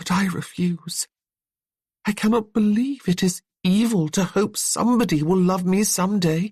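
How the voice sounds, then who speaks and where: A put-on character voice at a middle pitch, shaky and delivered at a moderate pace. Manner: earnest, defiant.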